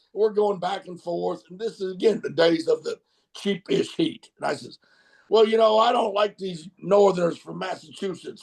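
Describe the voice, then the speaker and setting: At a moderate pace, a man with an American accent speaks at a high pitch with ordinary pitch variation. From US South, Mississippi. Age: 60s. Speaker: wrestling manager. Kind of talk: interview storytelling. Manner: halting, many fillers.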